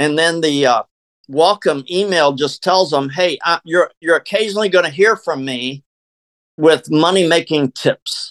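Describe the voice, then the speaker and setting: A plain, everyday voice at a fairly slow pace, with ordinary pitch variation and a dry, close sound with no echo. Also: man, fairly high pitch for a man. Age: 60s. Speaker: network marketer. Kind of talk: interview.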